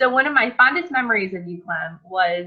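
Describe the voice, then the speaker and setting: A woman speaks in an American accent with an unremarkable speaking voice. Her pace is moderate, with ordinary pitch variation. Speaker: cooking channel host. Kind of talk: casual interview chat.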